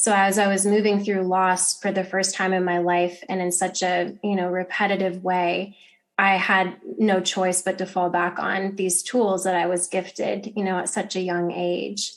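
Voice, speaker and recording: With an American accent, a woman talks at a moderate pace in a medium pitch, her intonation monotone and flat. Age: 30s. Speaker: yoga teacher. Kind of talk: interview.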